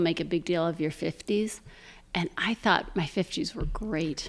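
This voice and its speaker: This woman has a normal speaking voice, with ordinary pitch variation at a moderate pace. The recording is very clean, with a silent background. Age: 60s. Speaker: charity founder. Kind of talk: casual chat.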